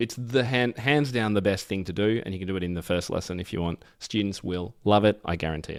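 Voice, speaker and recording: In an Australian accent, the speaker sounds enthusiastic, with ordinary pitch variation on a very clean recording with a silent background. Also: man. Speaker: piano educator and author. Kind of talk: interview.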